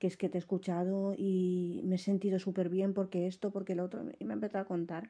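Against a quiet background, a woman speaks at a fairly quick pace. Her tone is dark and mellow, at a medium pitch. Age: 30s. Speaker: podcaster. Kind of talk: casual monologue.

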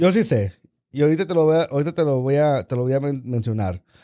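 The man's voice sits at a fairly high pitch. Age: 40s. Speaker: podcast co-host. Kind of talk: casual chat.

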